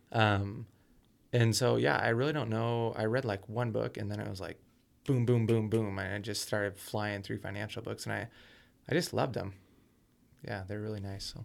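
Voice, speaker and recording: At a moderate pace, a man with a fairly low pitch and ordinary pitch variation speaks with long, frequent pauses. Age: 20s. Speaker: real estate entrepreneur. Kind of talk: casual interview.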